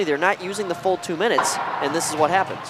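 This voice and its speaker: Music plays in the background as a man speaks at a high pitch. His pace is very fast, with ordinary pitch variation. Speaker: hockey color commentator. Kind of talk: live commentary. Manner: loud.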